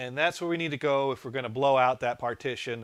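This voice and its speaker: This man talks at a fairly quick pace. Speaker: tech live streamer. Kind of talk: live tech tutorial stream. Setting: live stream with wireless mic.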